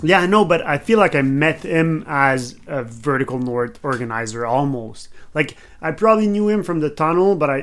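A man with a Quebec accent speaks at a moderate pace with a fairly high pitch and lively intonation in a very clean recording with a silent background. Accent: Québécois French accent in English. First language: French. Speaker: podcast host, skydiver. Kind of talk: casual chat; scripted narration.

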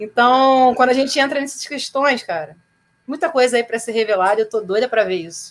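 A woman talks at a fairly quick pace with lively intonation. Her pitch is high. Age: 30s. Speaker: rock singer and producer. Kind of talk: casual chat.

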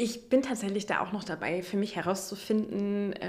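A woman speaks with an unremarkable speaking voice and fairly even intonation. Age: 20s. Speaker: sex therapist in training. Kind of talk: interview. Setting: therapy practice room.

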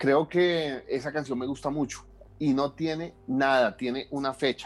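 Speaking very slowly, a man with a fairly high voice keeps his intonation fairly even. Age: 30s. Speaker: electronic musician. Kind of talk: interview.

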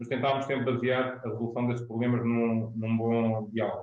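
A man speaks in a medium pitch and moves at a fairly quick pace. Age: 40s. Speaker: business founder. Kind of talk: panel interview.

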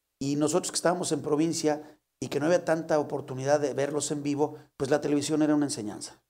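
A man's fairly high, dark and mellow voice, very fast and flat in a monotone. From León, Guanajuato, Mexico. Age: 50s. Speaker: comedian. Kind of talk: casual comedic chat.

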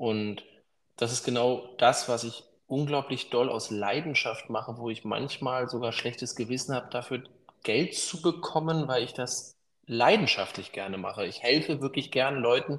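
A man with a normal speaking voice, medium pitch, ordinary pitch variation, and a moderate pace. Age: 30s. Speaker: business consultant. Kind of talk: interview.

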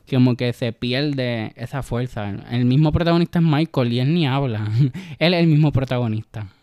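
The sound is dry and close with no echo as a man talks at a fairly quick pace, at a medium pitch with ordinary variation. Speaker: podcast guest, film fan. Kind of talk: casual chat. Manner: shy at first.

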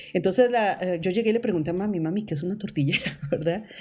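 The tone is dark and mellow. The speech comes at a very fast pace. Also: woman. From Costa Rica. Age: 50s. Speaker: visual artist and photographer. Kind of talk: interview, personal life story.

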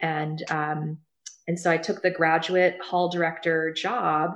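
Speaking at a fairly slow pace, a woman has a fairly low voice and a Midwestern US accent. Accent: US Midwest. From Ohio, Cincinnati area. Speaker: career center director. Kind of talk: interview.

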